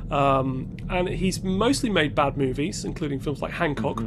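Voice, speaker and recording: Speaking fairly quickly, a man uses a British accent. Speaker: podcast co-host. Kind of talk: casual chat.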